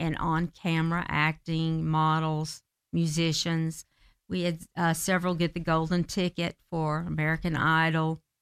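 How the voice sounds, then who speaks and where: A woman with a Southern US accent, moderate in pace and monotone, flat in intonation. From US South, Marietta, Georgia. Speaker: theater director and actress. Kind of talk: interview. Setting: studio.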